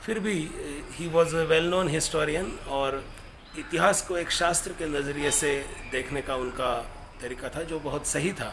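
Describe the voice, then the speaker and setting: Audible room echo and noticeable background noise around speech with ordinary pitch variation. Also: man, fairly high pitch for a man. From Maharashtra, India. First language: Marathi (speaking Hindi). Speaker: professor and activist speaker. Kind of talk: commemorative lecture. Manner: halting, with fillers.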